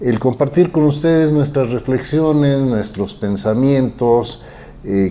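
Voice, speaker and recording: A man's dark, mellow voice with lively intonation, at a fairly slow pace. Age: 70s. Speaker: social activist and commentator. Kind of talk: interview.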